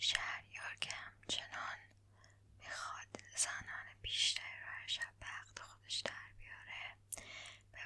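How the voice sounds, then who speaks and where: A woman whispers fairly slowly as noticeable background noise carries on. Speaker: ASMR creator and storyteller. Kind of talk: bedtime storytelling reading of a classic tale. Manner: soft, slow, relaxing.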